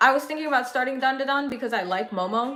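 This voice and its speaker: Speaking with an American accent, a woman uses a high pitch and lively intonation at a fairly quick pace. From California. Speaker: anime livestreamer. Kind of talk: casual chat. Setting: livestream.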